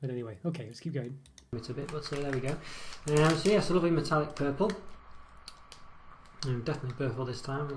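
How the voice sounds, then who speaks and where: The speech comes at a very fast pace broken by long, frequent pauses, with noticeable background noise. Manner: louder, more confident.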